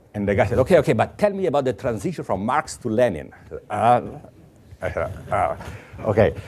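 With an Italian accent and vocal fry, a man at a medium pitch speaks with very wide pitch swings and big jumps in loudness. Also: fairly quick pace. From Italy. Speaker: mathematics professor. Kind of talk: lecture; answering audience questions.

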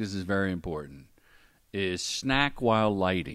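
A man with an American accent speaks in an ordinary speaking voice at a fairly low pitch. He takes a fairly slow pace in a very clean recording with a silent background. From Ohio. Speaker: film and commercial director, former stand-up comedian. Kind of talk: podcast interview.

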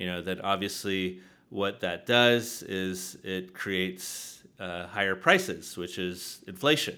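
A man with a very deep, low voice and an American accent, bright and sharp in tone, very slow, with fairly even intonation. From Southern California, San Diego. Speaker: real estate developer. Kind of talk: interview. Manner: halting, many fillers.

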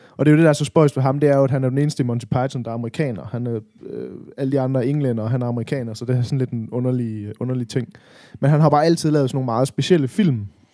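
Very fast speech from a man at medium pitch, dark and mellow in tone, with ordinary pitch variation, in a very clean recording with a silent background. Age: 30s. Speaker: podcast co-host. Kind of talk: casual chat.

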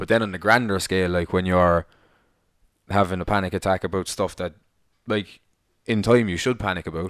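Speaking with an Irish accent at a very deep, low pitch, a man moves at a fairly quick pace with long, frequent pauses and fairly even intonation, on a very clean recording with a silent background. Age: 20s. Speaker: podcast co-host. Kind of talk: casual chat.

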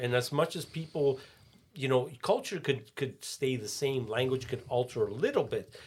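A man talks at a fairly slow pace with lively intonation. His voice is somewhat breathy. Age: 50s. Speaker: musician and father. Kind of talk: casual chat.

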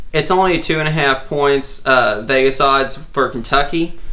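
With noticeable background noise and audible room echo, a man speaks in a fairly even intonation. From Central Louisiana, then East Texas. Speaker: guest sports pundit. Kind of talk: casual sports chat.

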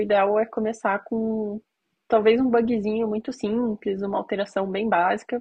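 A woman with a plain, everyday voice speaks at a moderate pace and fairly high pitch, her intonation fairly even. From Curitiba, southern Brazil. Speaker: iOS software engineer. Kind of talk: casual chat.

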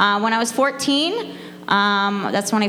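A woman with an American accent, medium pitch and ordinary pitch variation, plus audible room echo and noticeable background noise. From Florida. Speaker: church student sharing testimony. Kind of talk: personal testimony before a congregation. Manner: hesitant, filler-heavy with frequent ums.

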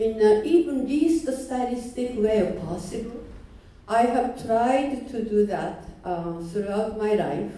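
Speaking at a very slow pace in a Japanese accent, a woman makes very wide pitch swings amid audible room echo. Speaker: artist and teacher. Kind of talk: seminar talk.

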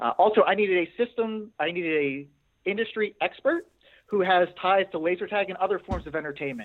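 Someone with an American accent speaks at a fairly quick pace, using ordinary pitch variation. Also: man, high pitch for a man. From Pittsburgh, Pennsylvania. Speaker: doctoral student. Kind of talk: research interview.

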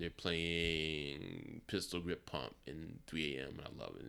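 In an American accent, a man speaks in a very deep, low pitch. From Philadelphia, US. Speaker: music fan and photographer. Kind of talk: casual chat. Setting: in an apartment.

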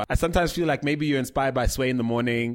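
Very fast male speech at a medium pitch, pitch variation ordinary. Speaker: podcast host. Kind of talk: casual interview.

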